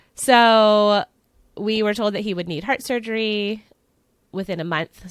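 A woman speaks with an American accent in a normal speaking voice. Her pitch varies in an ordinary way, and the recording is very clean with a silent background. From Pennsylvania. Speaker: author and parenting coach. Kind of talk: interview testimony.

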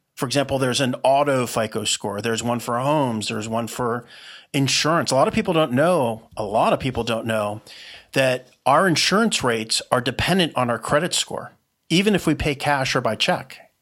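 Moving at a fairly quick pace, a man uses a normal speaking voice at a medium pitch with lively intonation, in a very clean recording with a silent background. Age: 50s. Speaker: entrepreneur. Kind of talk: podcast interview.

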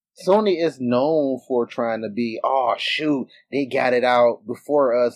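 A man talks at a medium pitch with ordinary pitch variation in an ordinary speaking voice. The sound is dry and close with no echo. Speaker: podcast co-host. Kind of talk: casual chat.

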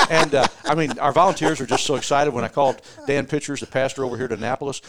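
Over noticeable background noise, a man with an American accent speaks very fast at a medium pitch with ordinary pitch variation. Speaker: church relations specialist. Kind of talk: casual interview.

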